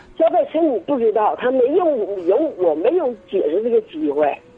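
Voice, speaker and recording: Pitch swings are very wide here. The speech moves at a moderate pace. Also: woman. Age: 70s. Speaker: caller. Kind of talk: call-in advice conversation. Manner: halting.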